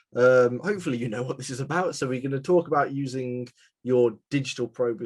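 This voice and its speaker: With a West Midlands accent, a man speaks at a medium pitch. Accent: British (West Midlands). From England, West Midlands (west of Birmingham). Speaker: CAM software presenter. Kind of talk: webinar presentation. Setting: live webinar. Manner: casual, filler-heavy.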